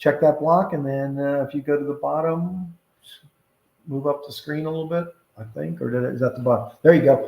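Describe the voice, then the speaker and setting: Moving at a fairly quick pace, a man speaks with a fairly high pitch, a dark, mellow tone, some breathiness, fairly even intonation and big swings in loudness. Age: 60s. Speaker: tax accountant and real estate broker. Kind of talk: tutorial. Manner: halting, many fillers.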